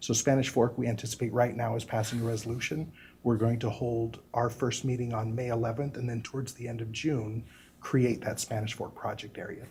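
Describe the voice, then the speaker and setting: In a room with audible echo, a man at medium pitch speaks in a dark, mellow, somewhat breathy tone with monotone, flat intonation. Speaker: inland port agency representative. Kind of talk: presentation to city council. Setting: city council meeting. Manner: fast.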